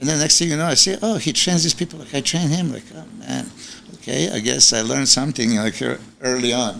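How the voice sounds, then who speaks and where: A man at medium pitch with a non-native accent, very wide pitch swings and a fairly quick pace, over noticeable background noise. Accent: foreign. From Serbia. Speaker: bodybuilding coach. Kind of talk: casual interview chat.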